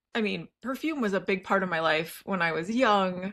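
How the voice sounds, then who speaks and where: This woman speaks with a Midwestern US accent. The recording is very clean, with a silent background. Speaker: lifestyle YouTuber. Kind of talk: casual vlog talk. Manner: conversational, with fillers.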